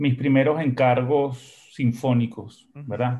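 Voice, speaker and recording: A somewhat breathy man's voice at medium pitch with fairly even intonation. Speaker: musician and composer. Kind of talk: interview conversation. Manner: halting, repeats words.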